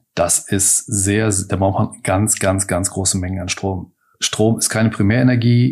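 A man with an ordinary speaking voice and a fairly low pitch talks at a fairly slow pace with fairly even intonation but big swings in loudness. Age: 50s. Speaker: master baker, entrepreneur and parliamentary candidate. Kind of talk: interview. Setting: in-person interview at his bakery offices.

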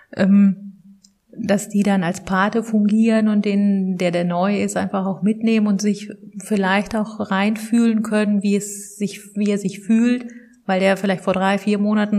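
A woman's somewhat breathy voice at medium pitch, dark and mellow in tone, monotone and flat, at a moderate pace. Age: 30s. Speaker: social work manager. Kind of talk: interview. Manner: hesitant, many fillers.

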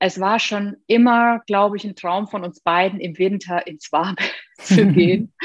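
A woman's medium-pitched voice, fairly even in intonation, dry and close with no echo, over a quiet background. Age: 30s. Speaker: former tax advisor turned digital nomad. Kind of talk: interview.

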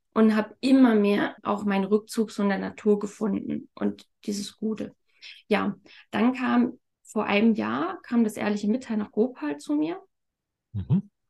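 A woman with a dark, mellow tone and a somewhat breathy, fairly high voice speaks at a fairly slow pace with ordinary pitch variation and long, frequent pauses. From Thuringia, eastern Germany. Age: 30s. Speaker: communication method practitioner. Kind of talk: interview.

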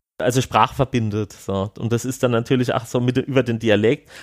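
Speaking at a fairly quick pace, a man with an unremarkable speaking voice uses fairly even intonation at a medium pitch. The recording is very clean, and the background is silent. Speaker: film participant. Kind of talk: interview.

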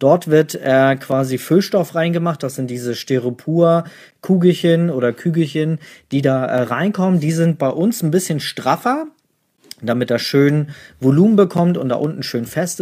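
Recorded very cleanly against a silent background, a man speaks in a fairly high pitch with a dark, mellow tone and ordinary pitch variation. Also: moderate pace. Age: 30s. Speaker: newborn photographer and podcast host. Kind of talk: live Q&A session. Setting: livestream in home office.

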